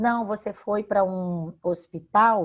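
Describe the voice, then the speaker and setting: A woman speaks at a medium pitch with ordinary variation. The background is quiet. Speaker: law professor, radio guest. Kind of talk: interview answer explaining consumer law.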